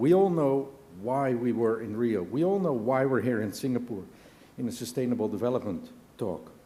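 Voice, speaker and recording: With a non-native accent and a dark, mellow tone, this man talks at a moderate pace in a medium pitch, his intonation lively against audible room echo. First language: not English. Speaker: business leader. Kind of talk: conference speech.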